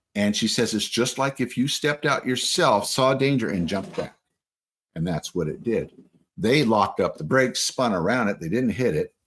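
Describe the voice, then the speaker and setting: Speaking at a moderate pace, a man uses a medium pitch with very wide pitch swings and vocal fry. The recording is very clean, with a silent background. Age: 60s. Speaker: interviewee recounting Bigfoot encounters. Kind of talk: testimony. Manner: halting with fillers.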